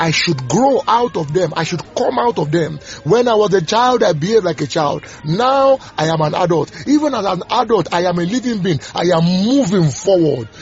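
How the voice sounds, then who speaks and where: Music plays in the background as a high-pitched man talks at a moderate pace. His pitch swings very widely. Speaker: preacher. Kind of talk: sermon and devotional with prayers and scripture teaching. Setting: audio devotional recording. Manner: fervent, exhortative preaching with declarations and blessings; halting, repeating words while searching for phrasing.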